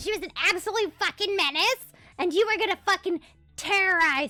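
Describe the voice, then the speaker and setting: A put-on character voice at an extremely high pitch, at a fairly quick pace, with faint music in the background. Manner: menacing, high energy.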